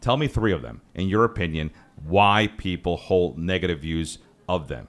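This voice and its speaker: A man speaks at a moderate pace with lively intonation and vocal fry. His pitch is very deep and low. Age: 40s. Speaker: podcast host. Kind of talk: podcast interview.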